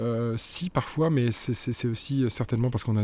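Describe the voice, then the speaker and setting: This man's voice sits at a medium pitch and has a dark, mellow tone. He speaks at a fairly slow pace. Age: 50s. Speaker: communications director. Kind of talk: interview. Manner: halting.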